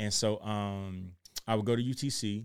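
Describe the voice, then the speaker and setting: Recorded very cleanly against a silent background, a man talks at a medium pitch. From Chattanooga, Tennessee (US South). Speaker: podcast host, former pastor. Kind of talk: casual solo podcast monologue.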